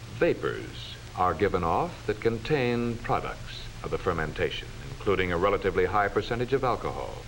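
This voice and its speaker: A man talks at a fairly quick pace. His loudness stays very even throughout. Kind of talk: educational film narration.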